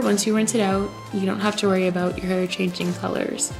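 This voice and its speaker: Music can be heard in the background. A woman is talking over it. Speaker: natural hair care vlogger. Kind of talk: casual tutorial talk to camera.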